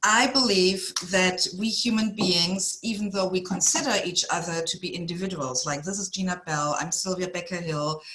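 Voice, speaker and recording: In a German accent, a woman speaks at medium pitch and a moderate pace, with hardly any pauses. Her pitch varies in an ordinary way, and there is noticeable background noise. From Germany. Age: 50s. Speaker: executive coach. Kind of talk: podcast interview.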